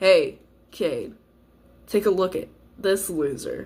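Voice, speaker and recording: A raspy put-on character voice at a middle pitch moves along at a fairly slow pace. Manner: mocking, taunting.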